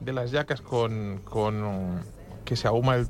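The man speaks at a medium pitch. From Spain. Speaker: radio host and blind food critic. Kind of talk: casual chat. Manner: animated.

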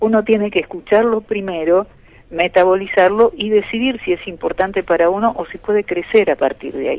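At a moderate pace, a woman speaks with ordinary pitch variation in a plain, everyday voice. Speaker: filmmaker and biochemist. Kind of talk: radio interview.

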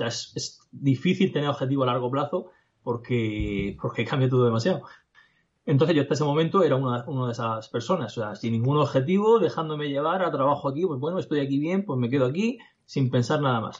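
This man's voice is fairly high and somewhat breathy. He talks at a very fast pace with lively intonation. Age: 20s. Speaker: digital entrepreneur. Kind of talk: casual interview. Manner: halting.

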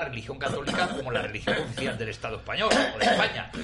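Fairly quick male speech in a room with audible echo and noticeable noise in the background. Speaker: professor, panelist. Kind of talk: talk radio debate.

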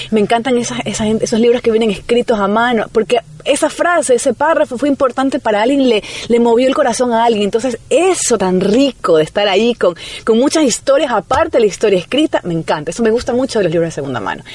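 Over noticeable background noise, a woman talks very fast with lively intonation and a fairly high pitch. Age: 30s. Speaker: writer and journalist, radio broadcaster. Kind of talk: radio interview.

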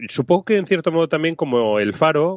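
A man is speaking. His pitch swings very widely. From Spain, Zaragoza (Aragon). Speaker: podcast co-host. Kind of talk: casual chat.

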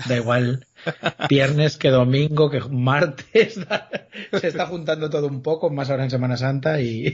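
Somewhat breathy, a man talks with a fairly high pitch that varies in an ordinary way. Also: fairly slow pace. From Galicia, Spain. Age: 40s. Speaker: author and comic writer. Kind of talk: interview, casual chat.

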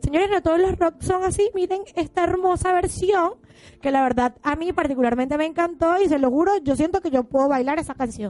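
Pitched extremely high, a woman speaks at a fairly quick pace with ordinary pitch variation and very even loudness. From Venezuela. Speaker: radio host. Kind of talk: live radio interview. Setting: radio studio.

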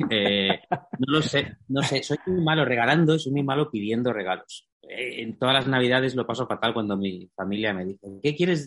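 A man with an unremarkable speaking voice talks at a moderate pace and medium pitch. His intonation is lively, with hardly any pauses. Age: 30s. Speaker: writer and journalist. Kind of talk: casual interview chat.

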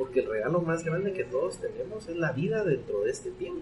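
A man talks at a fairly quick clip while noticeable background noise carries on behind him. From Guatemala. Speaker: entrepreneurship expert and author. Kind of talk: interview.

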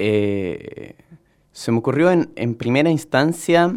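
Over a silent background in a very clean recording, a man with a medium pitch talks at a fairly slow pace with lively intonation. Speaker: juggler and circus-theatre performer. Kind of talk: interview. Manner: hesitant with frequent fillers.

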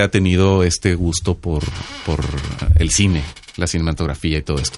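This man's very deep, low voice moves at a fairly quick pace. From Mexico, Sinaloa. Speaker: podcast co-host. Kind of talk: casual chat. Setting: studio.

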